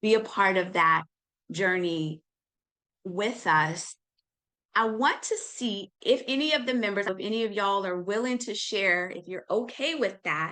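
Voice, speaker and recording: A woman speaks at a fairly slow pace with lively intonation. Her voice sits at a medium pitch and has a bright, sharp tone. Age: 50s. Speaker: nutritionist and wellness teacher. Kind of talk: online class sales pitch. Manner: casual.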